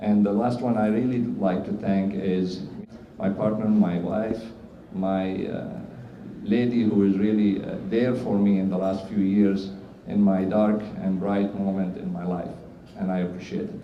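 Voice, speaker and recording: In a Syrian Arabic accent, a man talks at a fairly slow pace in a fairly low pitch with monotone, flat intonation. Noticeable background noise and audible room echo fill the recording. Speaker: cardiologist. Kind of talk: award acceptance speech. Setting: stage with audience at awards ceremony. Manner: halting, many fillers.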